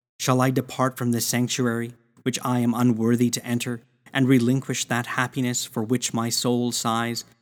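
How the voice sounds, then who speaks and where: The recording is very clean, with a silent background. A man with medium pitch speaks in a solemn, intense tone with monotone, flat intonation. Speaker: prayer reader. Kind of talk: fervent prayer, devotional reading aloud. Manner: earnest, pleading, intense; slow, solemn, reverent.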